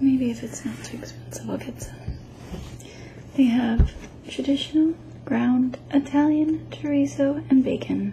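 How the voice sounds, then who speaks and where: A soft-spoken woman whispers at a fairly slow pace with long, frequent pauses and big swings in loudness, noticeable background noise behind her. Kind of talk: ASMR unboxing, casual talk to camera. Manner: soft-spoken, whispered.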